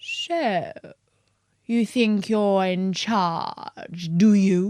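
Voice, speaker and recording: A female-sounding voice of medium pitch does a put-on character voice at a very slow pace. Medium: read story. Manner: terse, stern.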